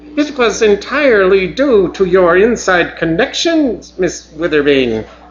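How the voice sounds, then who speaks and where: Fairly slow, high-pitched delivery from a man in a put-on character voice. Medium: read story. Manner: formal, prim.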